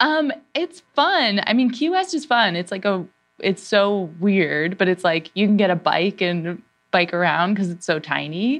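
Music plays in the background. A woman speaks at a fairly slow pace with lively intonation. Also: medium pitch for a woman. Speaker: comedy writer and actor. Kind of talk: casual chat.

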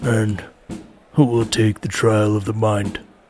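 Using a put-on character voice, a man talks at a fairly slow pace with fairly low pitch and fairly even intonation. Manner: commanding, calling out to a line of recruits.

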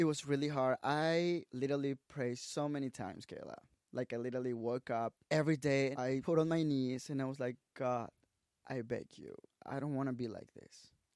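A man speaks with a Mexican accent at medium pitch and a moderate pace. His intonation is fairly even, and the sound is dry and close with no echo. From Mexico, Tabasco. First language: Spanish. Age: 20s. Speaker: social media creator and photographer. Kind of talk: casual interview chat.

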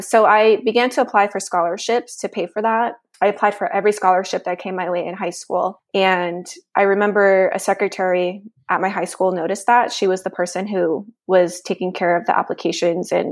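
A woman's unremarkable speaking voice at medium pitch and a fairly quick pace, on a very clean recording with a silent background. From Nevada, US (Mexican-American family). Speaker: policy advocate, lawyer. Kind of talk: interview.

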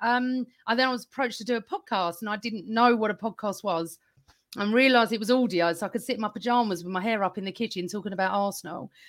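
In a very clean recording with a silent background, a woman talks at a very fast pace. She has an English accent and a fairly high pitch. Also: ordinary pitch variation. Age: 50s. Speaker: football podcaster. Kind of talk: casual chat.

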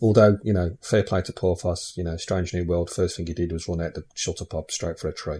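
A man with an English accent and a very deep, low pitch speaks at a fairly quick pace with hardly any pauses, his dark, mellow tone somewhat breathy. His intonation stays fairly even in a very clean recording with a silent background. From England. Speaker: podcast host. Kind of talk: casual chat.

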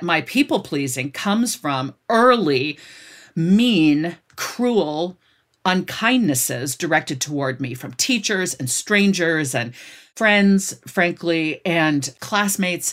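A woman's fairly low, very slow voice in an American accent, with very wide pitch swings, on a very clean recording with a silent background. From United States. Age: 50s. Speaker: author. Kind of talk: interview.

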